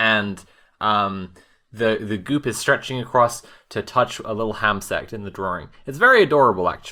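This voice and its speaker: This man has a medium pitch, ordinary pitch variation and a bright, sharp tone. He talks at a moderate pace on a very clean recording with a silent background. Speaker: tabletop game player. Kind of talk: casual tabletop roleplaying game podcast.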